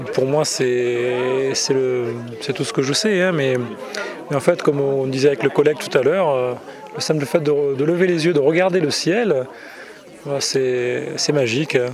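Crowd noise fills the background, and room echo is audible. A man talks at a fairly slow pace with a medium pitch and ordinary pitch variation. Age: 40s. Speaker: event visitor. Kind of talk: vox pop interview.

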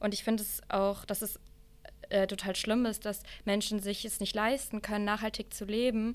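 This woman has a medium pitch and a moderate pace. Her intonation stays monotone and flat. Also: very clean recording, silent background. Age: 20s. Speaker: climate activist and student. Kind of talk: debate.

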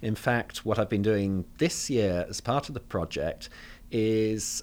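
At a very slow pace, a man with a southern English accent talks with ordinary pitch variation. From London, England. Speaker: theology professor. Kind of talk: interview.

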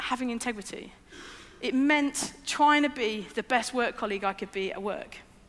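Over noticeable background noise, a woman with a high pitch talks at a moderate pace, with ordinary pitch variation. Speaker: preacher. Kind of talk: sermon. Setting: church with screens. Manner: hesitant, with many fillers.

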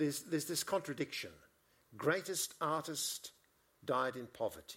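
Vocal fry runs through a man's fairly high voice. He keeps a moderate pace. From Melbourne, Australia. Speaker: art historian. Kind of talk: on-stage conversation. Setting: stage with audience.

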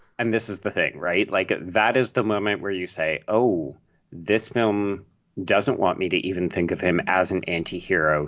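With a Canadian accent, a man speaks at a very deep, low pitch with ordinary pitch variation. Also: moderate pace. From Canada, Toronto. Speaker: film writer and podcaster. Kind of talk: casual chat.

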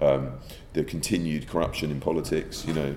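A man with an English accent, very deep and low in pitch, dark and mellow in tone with vocal fry, fairly even in intonation and fairly quick in pace, amid audible room echo. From England. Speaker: theatre director. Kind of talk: interview. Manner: halting, repeating words.

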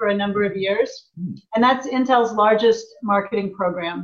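A woman's ordinary speaking voice, fairly high in pitch, at a moderate pace with ordinary pitch variation. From US Midwest, small town in Indiana. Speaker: tech company president. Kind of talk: interview.

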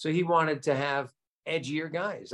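Dry, close sound with no echo and a New Jersey accent. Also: man. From Nutley, New Jersey, US. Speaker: comedian. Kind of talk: casual interview.

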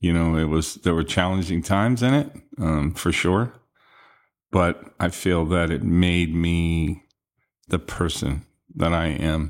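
A man speaks in a very deep, low voice at a fairly slow pace, with long, frequent pauses and very even loudness. His pitch varies in an ordinary way, and the recording is very clean with a silent background. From New England, Gardiner, Maine. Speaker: security director. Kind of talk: interview.

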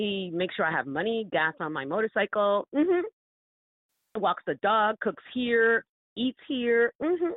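A woman with an American accent and fairly high pitch speaks at a fairly slow pace, her pitch swinging very widely. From Florida. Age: 50s. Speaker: dating story guest. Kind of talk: casual chat. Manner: animated.

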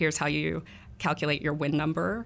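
A woman speaks with an American accent in a very deep, low pitch marked by vocal fry. The recording is very clean, with a silent background. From Texas, Fort Worth. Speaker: executive director of a political organization. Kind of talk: radio interview. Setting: radio studio.

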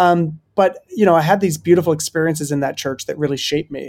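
This man has an ordinary speaking voice, fairly high in pitch. His intonation is fairly even. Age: 30s. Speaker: pastor and author. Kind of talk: interview conversation.

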